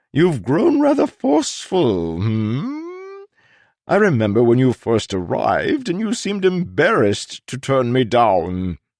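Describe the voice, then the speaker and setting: A man puts on a character voice. His pitch sits in the medium range. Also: moderate pace, quiet background. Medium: read story. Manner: courteous, unctuous, repeats words.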